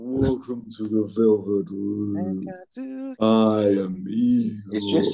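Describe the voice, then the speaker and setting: In a put-on character voice, the speaker growls at a very slow pace. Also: man, fairly low pitch for a man. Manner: monstrous, exaggerated.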